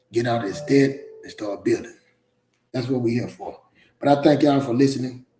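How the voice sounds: A man's medium-pitched voice with a dark, mellow tone, ordinary pitch variation and a moderate pace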